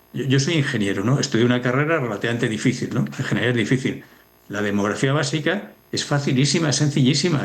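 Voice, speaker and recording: A man's voice sits at a medium pitch with ordinary pitch variation, and audible room echo hangs around it. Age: 60s. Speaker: demography expert. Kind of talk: TV news interview.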